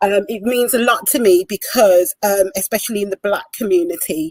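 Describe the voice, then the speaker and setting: A woman speaks with a Birmingham accent. The sound is dry and close, with no echo. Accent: broad Birmingham. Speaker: domestic abuse volunteer coordinator. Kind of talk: online panel discussion.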